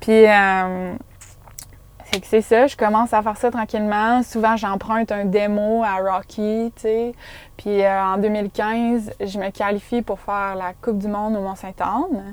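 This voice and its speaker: At a fairly slow pace, a woman with a fairly high voice talks in a flat monotone while her loudness swings widely. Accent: Quebec. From Quebec. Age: 20s. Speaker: professional mountain bike athlete. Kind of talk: casual interview chat. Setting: in a parked van.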